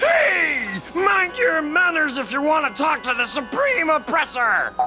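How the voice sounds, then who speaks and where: A cartoonish character voice speaks at a high pitch and a fairly slow pace over clear music in the background. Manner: loud, bullying.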